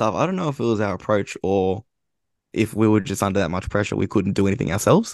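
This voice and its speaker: Here a man with an Australian accent speaks at a very fast pace and a fairly low pitch. The sound is dry and close with no echo, against a quiet background. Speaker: football writer. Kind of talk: casual chat.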